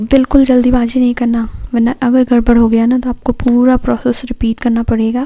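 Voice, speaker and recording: A soft-spoken woman talks with a high-pitched voice. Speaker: beauty/craft YouTuber. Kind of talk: tutorial. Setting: at home at night. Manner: quiet, soft-spoken; slow.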